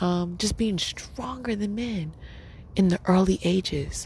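Noticeable background noise runs under this recording. A woman speaks with ordinary pitch variation. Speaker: podcast host. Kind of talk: casual monologue. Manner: laid-back, laughing.

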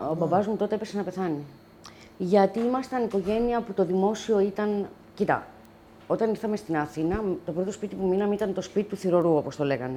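A woman speaks in a normal speaking voice at medium pitch. Her pace is fairly quick and her pitch varies in an ordinary way. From Greece, Athens (born near Lamia). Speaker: wine bistro owner, single adoptive mother. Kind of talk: casual interview. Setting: home.

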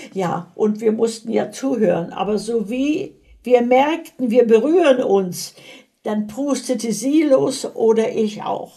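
The pace is very slow. It comes from a woman with a fairly high pitch. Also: lively intonation. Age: 80s+. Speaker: grandmother being interviewed. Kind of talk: casual chat.

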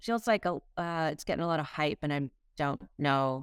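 A woman with an American accent at a fairly slow pace, in a dry, close sound with no echo. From Massachusetts, US Northeast. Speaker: economist and criminal justice researcher. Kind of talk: casual interview chat. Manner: frequent hesitations and fillers.

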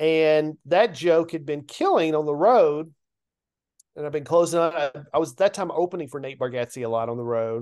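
In a Southern US accent, a man talks at a moderate pace and a fairly high pitch with ordinary pitch variation, over a quiet background. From US South, Nashville, Tennessee. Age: 50s. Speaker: comedian. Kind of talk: casual chat.

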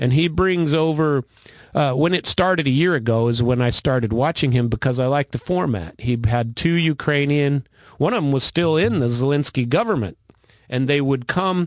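In a plain, everyday voice, a man speaks at a moderate pace and fairly high pitch with ordinary pitch variation and very even loudness, recorded very cleanly against a silent background with a dry, close sound and no echo. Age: 50s. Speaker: military veteran and political commentator. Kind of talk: casual chat. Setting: studio.

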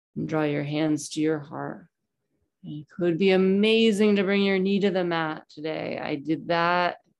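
A woman's normal speaking voice, fairly low in pitch with ordinary variation, at a fairly slow pace. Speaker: yoga instructor. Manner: warm and lightly humorous.

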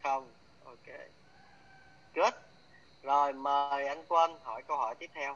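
Pausing long and often, a fairly high-pitched man speaks at a very slow pace with big swings in loudness. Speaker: coach and trainer. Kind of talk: live class or workshop teaching. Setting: online video session. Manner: animated, chatty storytelling.

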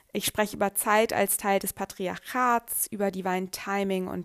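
Her intonation monotone and flat, a woman of medium pitch talks at a fairly slow pace. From Germany. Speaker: astrology podcaster. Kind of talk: podcast monologue. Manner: hesitant with fillers.

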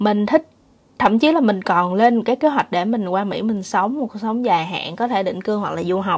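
In a plain, everyday voice, a woman talks at a fairly quick pace, with medium pitch and ordinary pitch variation. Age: 30s. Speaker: vlogger. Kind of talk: casual monologue.

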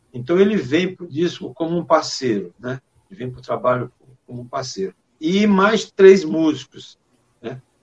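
A man speaks at a moderate pace with very wide pitch swings and big swings in loudness. The sound is dry and close, with no echo. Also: fairly high pitch for a man. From Maranhão, Brazil (rural interior). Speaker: singer-songwriter. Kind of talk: interview.

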